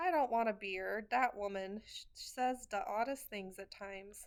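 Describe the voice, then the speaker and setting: Using a put-on character voice, a woman talks at a moderate pace with lively intonation and a fairly high pitch. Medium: read story. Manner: loud, mishearing.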